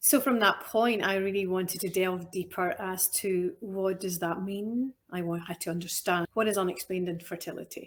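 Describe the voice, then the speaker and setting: In a strong Scottish accent, a woman talks with fairly even intonation on a very clean recording with a silent background. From Scotland. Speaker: nutritional therapist. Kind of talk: interview conversation. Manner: deliberately slower and clearer.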